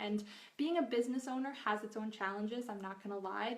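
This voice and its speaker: Background noise is noticeable throughout. The words come very fast. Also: woman. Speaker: nutritional therapy practitioner and cookbook author. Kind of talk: live video Q&A. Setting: Facebook live video. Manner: casual, filler-heavy.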